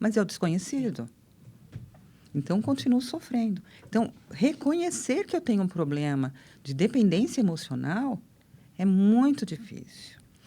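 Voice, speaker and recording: Somewhat breathy and dark, mellow in tone, a woman's fairly high voice makes very wide pitch swings at a moderate pace. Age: 60s. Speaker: therapist. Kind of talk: casual chat.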